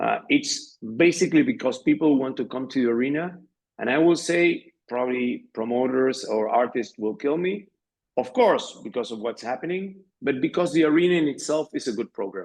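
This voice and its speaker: With a Spanish accent, a man speaks at a moderate pace in a fairly high pitch with lively intonation. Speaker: arena general manager. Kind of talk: interview. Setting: podcast. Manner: halting, many fillers.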